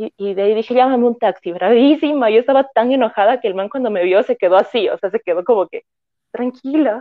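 Her pitch fairly high, a woman speaks at a fairly quick pace in an animated tone with ordinary pitch variation. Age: 20s. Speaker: fashion designer. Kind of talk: casual chat.

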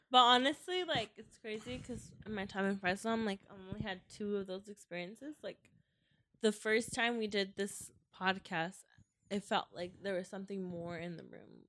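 Her tone bright and sharp, a woman speaks with big swings in loudness. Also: medium pitch for a woman, ordinary pitch variation, moderate pace. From Mexico. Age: 20s. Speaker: podcast co-host. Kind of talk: casual chat.

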